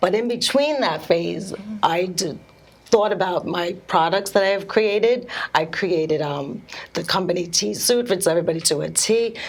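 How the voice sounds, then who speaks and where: A woman at a moderate pace with ordinary pitch variation, with audible room echo and noticeable background noise. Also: medium pitch for a woman. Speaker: speech pathologist and swimwear entrepreneur. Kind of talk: interview. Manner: halting.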